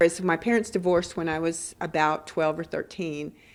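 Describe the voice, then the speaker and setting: A plain, everyday voice from a woman, fairly low in pitch, at a moderate pace, on a very clean recording with a silent background. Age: 60s. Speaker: voter interviewed in news report. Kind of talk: news interview.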